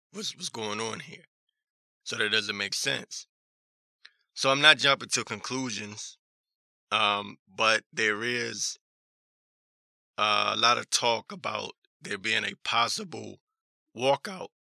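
A man puts on a raspy, hoarse character voice at a medium pitch. He speaks at a fairly slow pace with long, frequent pauses. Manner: suspicious, newsy.

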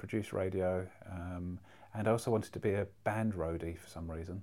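This man has a London accent. He talks at a fairly quick pace with fairly even intonation. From North London. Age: 40s. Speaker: artist and speaker. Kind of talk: casual chat. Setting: in person in London.

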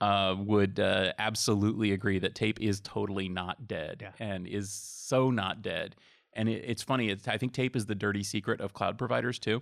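Speaking at a moderate pace with hardly any pauses, a man with an American accent has a plain, everyday voice pitched fairly low. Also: fairly even intonation, very clean recording, silent background. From Massachusetts. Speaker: IT industry analyst. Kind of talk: casual interview chat.

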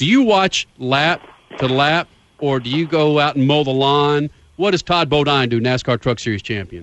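Fairly high-pitched, a man speaks with lively intonation. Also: moderate pace. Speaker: motorsports radio host. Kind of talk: radio talk show. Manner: animated.

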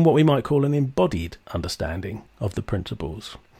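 On a very clean recording with a silent background, a man with a somewhat breathy voice talks at a moderate pace with very wide pitch swings, the sound dry and close with no echo. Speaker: podcast host. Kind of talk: interview conversation.

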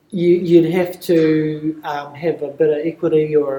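A man speaks with a New Zealand accent. His voice sits high for a man. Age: 30s. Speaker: property management consultant. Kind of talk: casual interview. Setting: conference.

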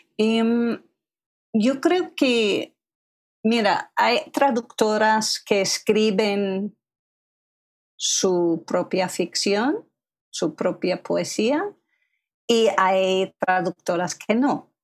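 A woman's fairly high voice at a very slow pace, with lively intonation, very even loudness and long, frequent pauses. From US, Philadelphia area. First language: English (speaking Spanish). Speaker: literary translator and writer. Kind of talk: interview conversation.

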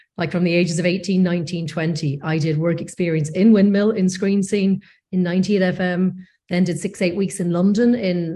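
Somewhat breathy and dark, mellow in tone, a woman with a Northern Irish accent speaks at a fairly quick pace and medium pitch with fairly even intonation. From Northern Ireland, North Coast. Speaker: post-production executive. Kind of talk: interview.

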